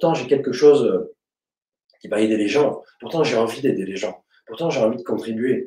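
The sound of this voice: In a dark, mellow tone with ordinary pitch variation, a man talks at a fairly quick pace amid audible room echo. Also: medium pitch for a man.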